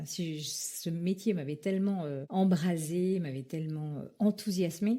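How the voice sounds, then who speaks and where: A woman speaks at a fairly low pitch with ordinary pitch variation. Her tone is dark and mellow, and somewhat breathy. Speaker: former actress, voice-over artist, public speaking coach. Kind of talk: interview answer. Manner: hesitant, conversational.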